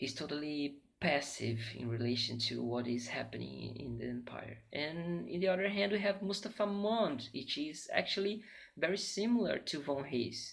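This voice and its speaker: In a Portuguese accent, a man talks at a moderate pace with a fairly high pitch, very wide pitch swings and a somewhat breathy quality. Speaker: literature student. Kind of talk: academic presentation. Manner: halting, many fillers.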